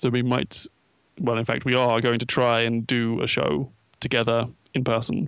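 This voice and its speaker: A man speaks with an unremarkable speaking voice at a medium pitch and moderate pace. His intonation is fairly even, his loudness very even, and the recording very clean with a silent background. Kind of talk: casual chat. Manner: bantering, joking.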